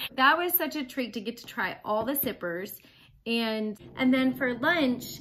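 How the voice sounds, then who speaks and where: A high-pitched woman's voice with lively intonation at a fairly slow pace, over light background noise. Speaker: food vlogger. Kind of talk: casual vlog chat. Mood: warm, excited. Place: home room.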